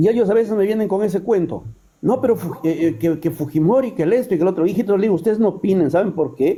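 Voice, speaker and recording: With a dark, mellow tone, a man speaks at a very fast pace in a high pitch, showing ordinary pitch variation. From Peru, Trujillo. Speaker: caller. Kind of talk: live stream call-in.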